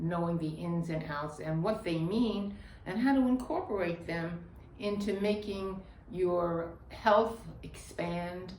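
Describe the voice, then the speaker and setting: Against noticeable background noise and audible room echo, a woman talks very slowly. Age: old. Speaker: yoga teacher. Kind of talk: tutorial.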